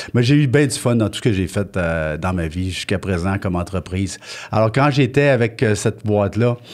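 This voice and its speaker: Over noticeable background noise, a man with a fairly low voice talks at a moderate pace with lively intonation. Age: 60s. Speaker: business owner. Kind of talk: interview. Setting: filmed studio interview.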